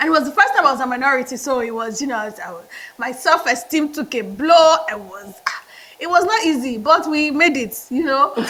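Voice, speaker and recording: Big swings in loudness and lively intonation come through over noticeable background noise. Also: woman, high pitch for a woman, fairly quick pace. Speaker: management consultant, MBA graduate. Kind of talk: interview.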